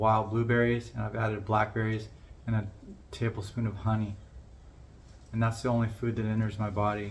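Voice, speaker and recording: In a room with audible echo, a man's fairly low, somewhat breathy voice moves at a moderate pace in a monotone, flat intonation. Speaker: vlogger with Parkinson's disease, musician. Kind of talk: personal vlog monologue. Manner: somewhat monotone, constricted by Parkinson's; halting, repeated words.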